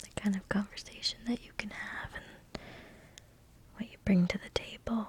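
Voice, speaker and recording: Someone whispers at a moderate pace. Long, frequent pauses break up the speech. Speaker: ASMR video creator. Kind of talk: ASMR talk to camera. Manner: whispered.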